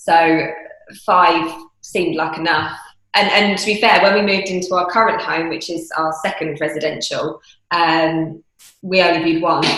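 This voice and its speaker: In a southern English accent, a woman with a fairly low pitch talks at a moderate pace with fairly even intonation and audible room echo. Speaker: property investor. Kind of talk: interview.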